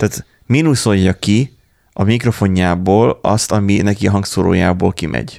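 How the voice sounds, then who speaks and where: This man has an unremarkable speaking voice, fairly low in pitch with ordinary pitch variation and very even loudness at a moderate pace. The recording is very clean with a silent background and a dry, close sound with no echo. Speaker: podcast host. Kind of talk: casual chat.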